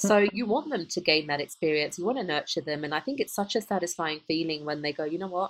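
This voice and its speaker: With an English accent, a woman at a fairly low pitch speaks very fast with lively intonation on a very clean recording with a silent background. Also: hardly any pauses. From United Kingdom. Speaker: podcast co-host, emotional intelligence coach. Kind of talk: casual chat. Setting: call.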